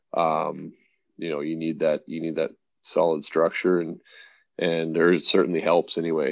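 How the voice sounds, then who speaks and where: A man at a moderate pace, with a western Canadian accent. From Canada (suburban Calgary). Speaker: professional hockey goaltender. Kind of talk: interview. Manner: hesitant, many fillers.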